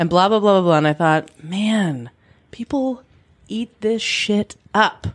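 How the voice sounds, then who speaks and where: A woman speaks in a normal speaking voice at a medium pitch. Her pace is fairly slow, with lively intonation. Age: 30s. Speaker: podcast co-host. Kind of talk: casual chat. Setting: home spare bedroom with handheld mics.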